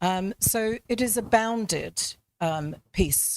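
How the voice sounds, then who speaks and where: Recorded very cleanly against a silent background, with a dry, close sound and no echo, a voice with a British accent speaks at a very slow pace with lively intonation. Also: woman. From Britain. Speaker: panel speaker, academic. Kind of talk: panel discussion. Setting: event with live audience. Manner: hesitant, many fillers.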